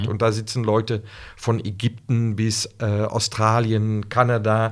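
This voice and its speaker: A man at a medium pitch and a fairly slow pace, in a very clean recording with a silent background. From Netherlands. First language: Dutch (speaking German). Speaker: Lego Serious Play facilitator. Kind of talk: casual podcast interview. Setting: in person in the host's office. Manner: halting, searching for words.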